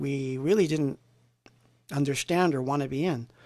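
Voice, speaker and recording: A man with a fairly high voice speaks with a New Jersey accent. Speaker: synthpop musician. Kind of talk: casual livestream chat. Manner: animated.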